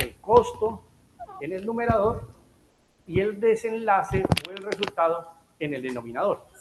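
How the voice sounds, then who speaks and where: A man speaks with a Bogotá accent. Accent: Colombian Spanish, Bogotá. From Colombia, Bogotá. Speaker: health economics speaker, physician. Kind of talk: lecture.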